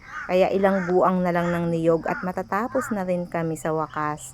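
Over noticeable background noise, a woman speaks at a fairly slow pace. Her pitch is fairly low, with ordinary variation. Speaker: vlogger. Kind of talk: voice-over narration. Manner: halting, stumbling over words.

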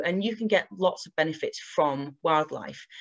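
Over a quiet background, a woman talks at a moderate pace, her pitch varying in an ordinary way. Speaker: presenter. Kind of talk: online presentation talk. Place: home room. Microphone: webcam.

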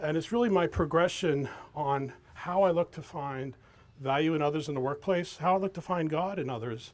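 A man with a fairly high pitch talks at a moderate pace with ordinary pitch variation. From New York City, Queens. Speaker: accountant and guest speaker. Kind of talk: talk to an audience. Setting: outdoor event with audience, microphone. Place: waterside. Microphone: handheld.

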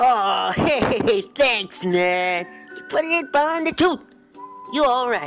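A man does a put-on character voice at an extremely high pitch, speaking very slowly. Faint music sits in the background. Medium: fan dub. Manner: playful, jokey.

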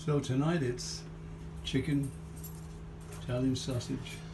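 A man talks at a fairly slow pace, with noticeable background noise around him. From Liverpool. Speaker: home cook filming his dinner. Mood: relaxed, proud of dinner. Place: kitchen. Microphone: phone near.

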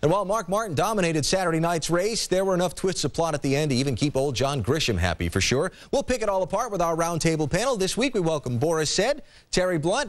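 Very fast and high-pitched, a man speaks with lively intonation against a quiet background. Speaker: TV show host. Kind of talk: broadcast presenting. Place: studio. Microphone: lapel.

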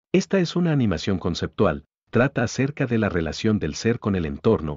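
A man speaks with a fairly low pitch. His pitch swings very widely. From Guatemala, Jutiapa. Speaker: animator and vlogger, architect. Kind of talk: scripted narration.

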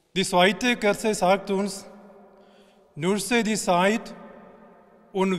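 Over a quiet background, a man with a high pitch speaks at a very slow pace with fairly even intonation. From India. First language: an Indian language (speaking German). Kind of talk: short spiritual address. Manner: halting in places. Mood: calm, hopeful. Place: church.

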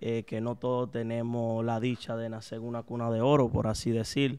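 Against a quiet background, a man speaks. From Dominican Republic (Santo Domingo), later Boston. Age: 30s. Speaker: nightclub owner; interview guest. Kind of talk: interview. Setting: at the guest's home. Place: studio. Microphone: studio mic.

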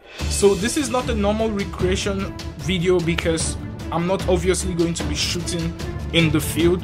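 A moderate pace over clear music in the background. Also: man. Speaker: football video creator. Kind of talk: casual vlog chat. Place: home room. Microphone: phone near.

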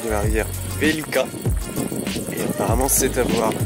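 Music plays in the background while a man talks at a moderate pace. The sound is dry with no echo, and his pitch varies in an ordinary way. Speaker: travel vlogger narrator. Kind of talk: travel vlog narration.

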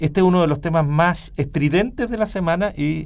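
Using an ordinary speaking voice, a man talks at a moderate pace in a fairly high register. His pitch varies in an ordinary way against a quiet background. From Chile. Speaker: radio talk show host. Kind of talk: panel discussion. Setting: radio studio. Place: studio. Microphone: studio mic.

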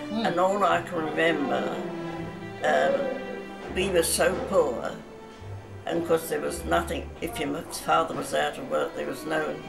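A woman talks at a fairly slow pace. Loud music plays in the background. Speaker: elderly woman recalling memories. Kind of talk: interview answer. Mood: calm, reflective reminiscing. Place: home room. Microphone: phone near.

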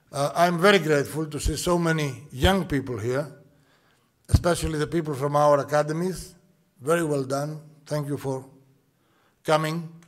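Against a quiet background, a man with a Greek accent speaks at a moderate pace and fairly high pitch, with fairly even intonation and long, frequent pauses. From Greece. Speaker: shipping executive. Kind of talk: welcome address. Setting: conference hall with audience. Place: hall. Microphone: podium.

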